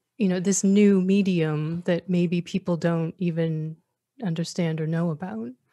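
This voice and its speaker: With an American accent, the voice comes in a dark, mellow tone at a fairly slow pace, the sound dry and close with no echo and the background quiet. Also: woman, fairly low pitch for a woman, ordinary pitch variation. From New Hampshire, US. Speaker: podcast co-host. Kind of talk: interview.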